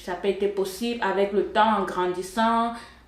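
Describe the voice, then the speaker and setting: A woman speaks at a moderate pace and a medium pitch. Noticeable background noise and audible room echo come through. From Cameroon, Yaoundé. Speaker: software engineer, church member. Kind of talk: testimony. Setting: studio. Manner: hesitant, with filler sounds.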